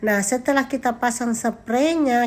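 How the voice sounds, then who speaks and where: A woman's voice with ordinary pitch variation comes through in a very clean recording with a silent background. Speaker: vlogger, teacher and housewife. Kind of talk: vlog narration. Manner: casual, chatty.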